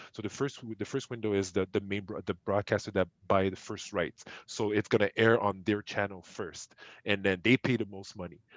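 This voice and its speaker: Speaking at a fairly quick pace with a French accent, a man with a fairly low pitch keeps a fairly even intonation against a quiet background, the sound dry and close with no echo. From Quebec, Montreal. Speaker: esports entrepreneur. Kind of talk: podcast interview. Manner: halting, many repetitions.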